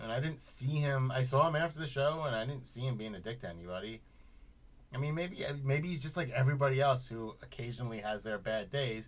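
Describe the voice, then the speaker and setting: Lively in intonation and fairly quick in pace, a man talks in an unremarkable speaking voice at a medium pitch. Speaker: metal musician and video co-host. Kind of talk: casual chat.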